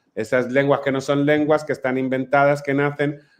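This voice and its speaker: A man with a Catalan accent speaks at a moderate pace. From Mallorca, Spain. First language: Catalan (speaking Spanish). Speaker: playwright. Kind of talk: panel discussion.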